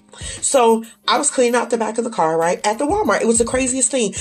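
With lively intonation and a fairly quick pace, a woman speaks over noticeable background noise. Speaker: faith podcast host. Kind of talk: devotional podcast monologue. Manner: animated.

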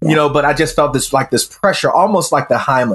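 In an American accent, a man with a fairly high, somewhat breathy voice talks at a very fast pace with ordinary pitch variation. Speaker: self mastery coach. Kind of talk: casual interview.

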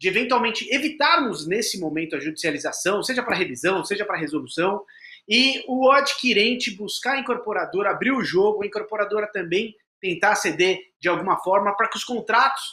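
In a raised, projected voice, a man speaks at a fairly quick pace with a high pitch, a bright, sharp tone, and lively intonation. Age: 30s. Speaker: lawyer moderating a legal webinar. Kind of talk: panel discussion livestream. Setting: studio.

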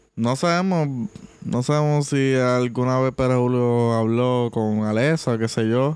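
A man with an unremarkable speaking voice talks at a fairly slow pace, medium in pitch with ordinary pitch variation and very even loudness. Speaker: podcast co-host. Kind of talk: casual chat.

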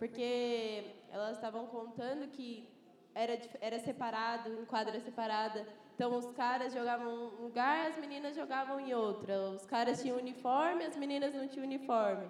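There is noticeable background noise behind this woman. Her pitch is high and her intonation fairly even. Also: moderate pace. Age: 20s. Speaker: 3x3 basketball player and student. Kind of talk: panel discussion. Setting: live event with audience.

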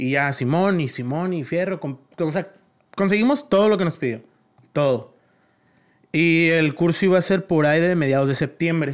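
Speaking at a high pitch in an animated tone, this man leaves long, frequent pauses. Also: ordinary pitch variation, moderate pace. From Mexico, La Paz, Baja California Sur. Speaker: choreographer and dance academy director. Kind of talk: casual chat.

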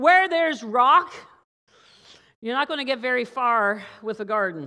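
A woman with a Newfoundland accent talks at a high pitch with very wide pitch swings and a bright, sharp tone. She keeps a moderate pace broken by long, frequent pauses, on a very clean recording with a silent background. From Newfoundland, Canada. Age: 50s. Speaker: pastor. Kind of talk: sermon.

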